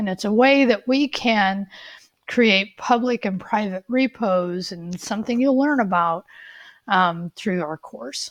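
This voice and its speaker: Using a plain, everyday voice, a woman speaks at a fairly slow pace with a medium pitch and lively intonation, in a dry, close sound with no echo. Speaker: college coding instructor. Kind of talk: tutorial.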